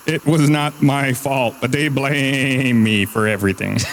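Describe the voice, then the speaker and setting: A man's put-on character voice, medium in pitch and moderate in pace, with clear background noise. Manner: aggrieved, complaining.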